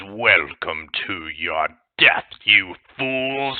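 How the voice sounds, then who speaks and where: Putting on a character voice, a man booms and growls at a fairly low pitch with lively intonation. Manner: menacing.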